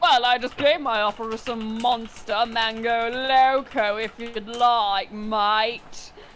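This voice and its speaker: A woman puts on a character voice at a fairly high pitch, speaking at a fairly slow pace with hardly any pauses over clear background noise. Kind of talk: casual, jokey. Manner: silly.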